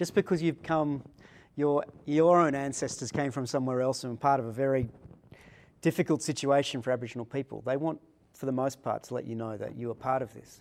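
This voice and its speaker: A man speaks at a very fast pace in an Australian accent, with a medium pitch and ordinary pitch variation. The recording is very clean, with a silent background. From Australia, Sydney. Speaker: religious studies professor. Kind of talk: interview conversation. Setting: conference venue.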